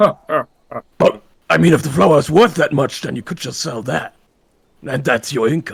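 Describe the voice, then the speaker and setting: A man's put-on character voice, raspy and fairly high-pitched, at a moderate pace in a dry, close sound with no echo. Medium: actual play.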